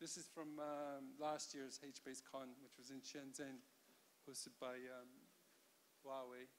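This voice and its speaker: Monotone, flat speech unfolds at a fairly slow pace over light background noise. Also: man. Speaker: conference keynote speaker. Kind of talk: lecture. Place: hall. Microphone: handheld.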